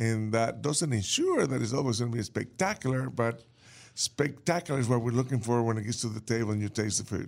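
A man with an American accent speaks at medium pitch, with ordinary pitch variation. He has an unremarkable speaking voice. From New Orleans, US South. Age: 60s. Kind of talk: casual interview.

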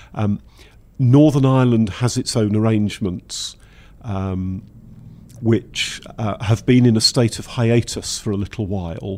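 A man speaks in a Welsh accent at medium pitch. His pitch varies in an ordinary way. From Wales. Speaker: engineering institution technical director. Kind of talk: interview.

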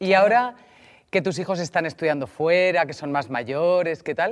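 On a very clean recording with a silent background, the talking proceeds at a moderate speed. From Spain, Mediterranean coast. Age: 40s. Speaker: podcast host. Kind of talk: casual chat.

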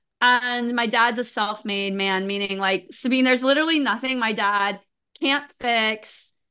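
With an American accent, a woman speaks in a bright, sharp tone at a fairly high pitch against a quiet background. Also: ordinary pitch variation, moderate pace. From US, Florida and Missouri. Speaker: insurance and digital strategy executive. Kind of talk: casual interview chat.

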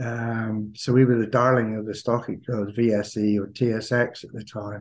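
A man in a Cornish accent speaks at a very slow pace, his medium pitch kept in a monotone, flat intonation. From Cornwall, England (Camborne). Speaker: retired mining executive and author. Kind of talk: interview.

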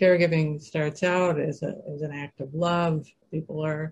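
This woman has an ordinary speaking voice with a fairly low pitch. Her intonation stays fairly even. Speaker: author and caregiver well-being specialist. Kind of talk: interview conversation with guided exercise.

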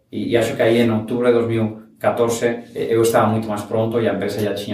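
The man's medium-pitched voice moves at a fairly quick pace, with audible room echo. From Spain (Valencia, raised in Barcelona). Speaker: startup founder. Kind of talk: interview. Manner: halting, mixes Spanish and Portuguese.

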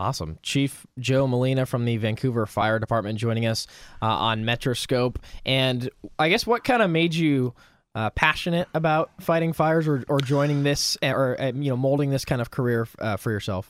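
A man's unremarkable speaking voice at medium pitch, moderate pace and ordinary pitch variation, in a very clean recording with a silent background and a dry, close sound with no echo. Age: 20s. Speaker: radio host. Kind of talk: radio interview.

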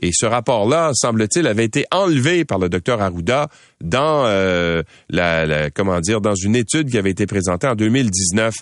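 Here a man speaks with a Quebec accent at a fairly low pitch and a moderate pace. His pitch swings very widely, and the background is quiet. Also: very even loudness. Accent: Québécois French. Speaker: radio news host. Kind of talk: news commentary and interviews.

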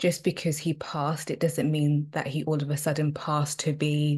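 Against a quiet background, a woman with a very deep, low pitch speaks somewhat breathily at a fairly slow pace. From UK, Zimbabwean and South African heritage. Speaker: occupational therapist and spiritual counsellor. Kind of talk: casual interview chat. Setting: remote recording, evening in the UK.

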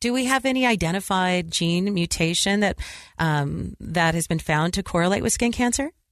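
Over a quiet background, a woman in an ordinary speaking voice talks at a medium pitch with lively intonation and very even loudness. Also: moderate pace. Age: 50s. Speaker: radio host. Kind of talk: interview.

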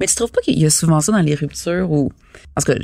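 Speaking at a very fast pace, a woman with a Quebec accent uses a very deep, low pitch and a dark, mellow tone with vocal fry. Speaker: podcast co-host, actor. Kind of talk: casual chat.

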